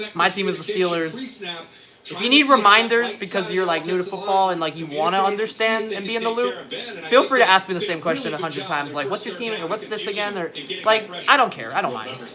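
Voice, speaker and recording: A man's raised, projected voice, high-pitched and animated in tone, at a very fast pace with ordinary pitch variation, over noticeable background noise. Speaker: livestreamer and musician. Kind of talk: casual livestream chat while watching football.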